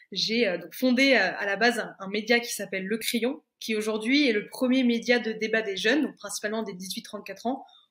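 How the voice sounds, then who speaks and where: A woman with an unremarkable speaking voice talks at a fairly high pitch with ordinary pitch variation. She moves at a fairly quick pace with hardly any pauses and big swings in loudness. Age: 20s. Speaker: entrepreneur and media founder. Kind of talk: podcast interview.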